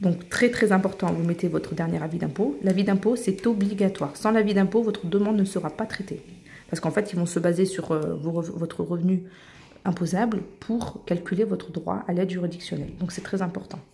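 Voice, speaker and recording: A woman's medium-pitched voice, dark and mellow, with vocal fry, fairly even intonation and a fairly quick pace. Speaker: YouTuber giving paperwork help. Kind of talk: tutorial. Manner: casual, hesitant with fillers.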